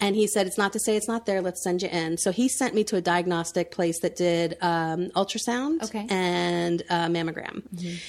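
A woman with an American accent, in an unremarkable speaking voice at a medium pitch, at a moderate pace with hardly any pauses. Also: ordinary pitch variation. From Central Florida. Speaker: entrepreneur, family expo founder. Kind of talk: casual interview chat.

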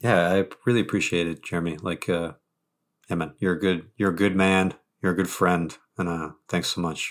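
Against a silent background on a very clean recording, a man with an American accent speaks in a very deep, low, monotone, flat voice at a moderate pace. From New England, US. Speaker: rock band vocalist and poet. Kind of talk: casual interview chat. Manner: halting, many restarts.

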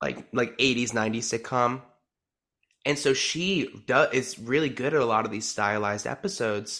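At a moderate pace, a man talks in a bright, sharp tone on a very clean recording with a silent background. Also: medium pitch for a man, ordinary pitch variation. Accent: American. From New Jersey. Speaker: returning podcast guest, musical theater fan. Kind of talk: casual chat.

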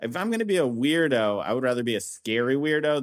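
A man speaks at a moderate pace in an ordinary speaking voice, with lively intonation. The recording is very clean, with a silent background. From US Midwest, northern Indiana. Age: 40s. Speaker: comedian. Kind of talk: casual chat.

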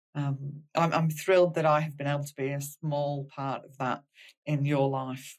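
Speaking with an Australian accent, a woman uses a very deep, low pitch and monotone, flat intonation at a moderate pace, with big swings in loudness. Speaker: podcast host, clinical psychologist. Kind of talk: casual interview; scripted intro.

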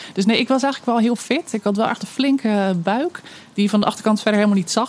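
A woman at a very fast pace and medium pitch, with noticeable background noise. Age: 30s. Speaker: storyteller and mother sharing birth story. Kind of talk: personal testimony interview. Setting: outdoors under a veranda.

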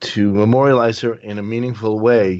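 Speaking with an unremarkable speaking voice, a man talks at a fairly low pitch with ordinary pitch variation. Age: 50s. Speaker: bereaved father of organ donor. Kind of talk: interview.

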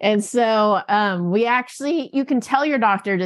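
A woman with a plain, everyday voice speaks at a moderate pace with lively intonation over a quiet background. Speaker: physician and birth control company founder. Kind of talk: interview.

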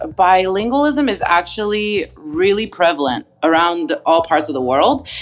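A woman talks at a moderate pace, her pitch swinging very widely. Music plays in the background. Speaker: speech therapist. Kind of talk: casual interview, expert advice.

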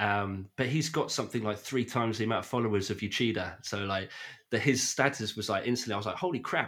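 A man with a British accent at a medium pitch and ordinary pitch variation, fairly quick pace, on a very clean recording with a silent background. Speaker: podcast host and film fan. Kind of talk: casual chat. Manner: animated.

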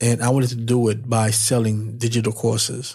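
The voice belongs to a man with medium pitch and a somewhat breathy sound. He talks at a moderate pace. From Haiti. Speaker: menswear YouTuber and podcaster. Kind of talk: solo podcast monologue, personal storytelling. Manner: casual, energetic.

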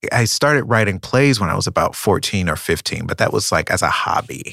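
At a moderate pace, a man with an American accent speaks in a bright, sharp tone at medium pitch. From North Carolina, US South. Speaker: playwright. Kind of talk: interview conversation. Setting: interview.

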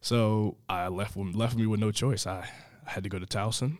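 A man with an American accent talks at a fairly slow pace in an unremarkable speaking voice with fairly even intonation. The recording is very clean, with a silent background. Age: 20s. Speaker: college baseball player. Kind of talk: interview.

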